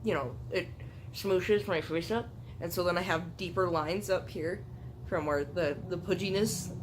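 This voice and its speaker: Audible room echo surrounds a woman whose fairly low pitch carries lively intonation at a moderate pace. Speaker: YouTuber. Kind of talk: casual chat. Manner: animated.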